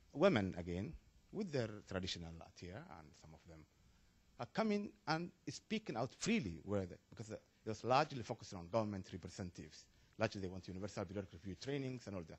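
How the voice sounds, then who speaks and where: A man talks at a very fast pace in a fairly low, somewhat breathy voice with lively intonation. His loudness swings widely. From Somalia. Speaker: audience member asking a question. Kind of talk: panel Q&A comment. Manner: halting.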